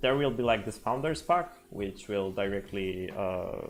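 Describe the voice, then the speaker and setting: With music playing in the background, a man speaks with a Polish accent and lively intonation. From Poland. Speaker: software developer. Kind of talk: live stream tutorial. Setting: live stream, home setup. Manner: halting, many fillers.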